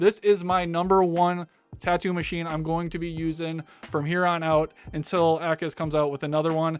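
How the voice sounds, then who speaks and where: Over music in the background, a man talks at a fairly quick pace in a high pitch with monotone, flat intonation. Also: dry, close sound with no echo. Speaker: tattoo artist and channel host. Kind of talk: product review Q&A. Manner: fast; casual, filler-heavy.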